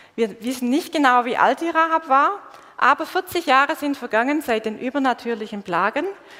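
A woman speaks at a moderate pace. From Swabia, southern Germany. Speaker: preacher. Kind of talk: sermon. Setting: church stage with congregation, livestreamed.

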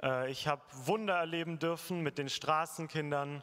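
A man's fairly high voice at a moderate pace with fairly even intonation, a plain, everyday voice. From Germany. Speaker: former overseas volunteer, tradesman. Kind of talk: testimony. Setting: church service with congregation.

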